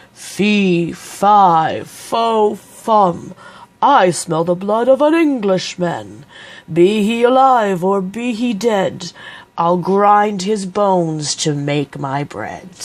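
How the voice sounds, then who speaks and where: A booming, bellowing put-on character voice that sounds female, pitched in the middle range and delivered at a very slow pace. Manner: bellowing, booming.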